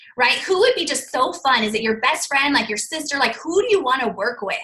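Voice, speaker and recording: A woman's high, raised and projected voice with lively intonation. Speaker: network marketing distributor. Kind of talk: live panel presentation, casual tips. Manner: stumbles over words at times; animated, conversational.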